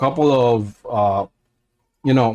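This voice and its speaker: This man speaks with a non-native accent. His pace is fairly slow. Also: dry, close sound with no echo. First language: not English. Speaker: religious commentator. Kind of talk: casual talk to camera. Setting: livestream. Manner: halting, many fillers.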